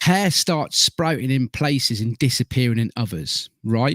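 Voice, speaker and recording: An English accent from a man at a fairly slow pace, with a dry, close sound with no echo, on a very clean recording with a silent background. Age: 40s. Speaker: podcast host. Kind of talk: casual chat.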